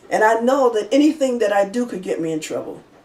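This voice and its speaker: Very fast, lively speech from a woman with fairly high pitch, audible room echo, and noticeable background noise. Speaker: minister and real estate broker. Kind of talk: sermon-style personal testimony. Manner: halting; soft-spoken.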